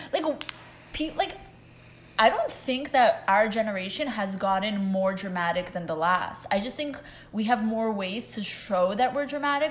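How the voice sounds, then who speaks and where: A woman's normal speaking voice, fairly high in pitch, with lively intonation at a fairly quick pace. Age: 20s. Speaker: podcast co-host. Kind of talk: casual chat.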